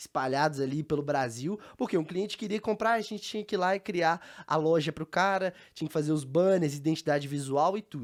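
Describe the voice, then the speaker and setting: A man with a fairly high voice speaks very fast with lively intonation on a very clean recording with a silent background. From Brazil, Belo Horizonte (Minas Gerais). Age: 20s. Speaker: entrepreneur, startup founder. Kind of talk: interview conversation.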